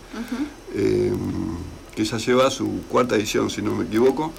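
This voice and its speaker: A man talks at a fairly slow pace over noticeable background noise, with audible room echo. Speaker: poet and journalist. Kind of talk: interview. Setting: radio studio.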